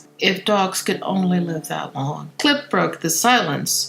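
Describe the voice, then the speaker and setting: Through noticeable background noise, a woman speaks at a fairly slow pace with very wide pitch swings. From St. Louis. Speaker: actress. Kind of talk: audiobook narration of a children's book.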